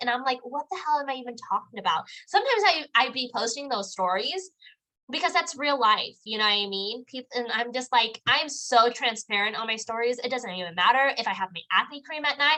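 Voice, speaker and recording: With a raised, projected voice and a bright, sharp tone, a woman talks at a fairly quick pace in a high pitch with lively intonation. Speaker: network marketing trainer. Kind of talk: live online training. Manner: casual, filler-heavy; fast.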